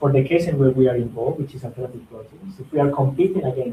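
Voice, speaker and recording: Fairly high-pitched for a man, his voice has a dark, mellow tone, sounds somewhat breathy and moves at a fairly quick pace. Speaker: startup founder giving a guest presentation. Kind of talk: presentation with Q&A. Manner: fast; hesitant with fillers.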